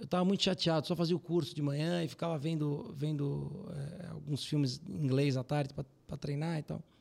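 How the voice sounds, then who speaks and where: A man talks at a fairly quick pace in a plain, everyday voice, fairly high in pitch. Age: 30s. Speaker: financial firm CEO. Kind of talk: casual interview.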